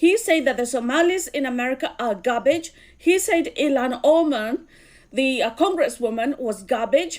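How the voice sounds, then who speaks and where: A woman with a Kenyan accent speaks at a moderate pace. Her voice is high-pitched with lively intonation. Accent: Kikuyu. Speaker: political commentator. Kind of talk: video commentary.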